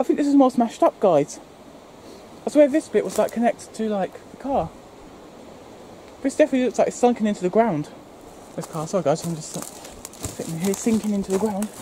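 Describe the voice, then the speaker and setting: A woman's voice swings very widely in pitch, sounding dry with no echo over light background noise. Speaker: explorer vlogger. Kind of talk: casual vlog chat. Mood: curious, slightly spooked. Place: garden. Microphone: phone near.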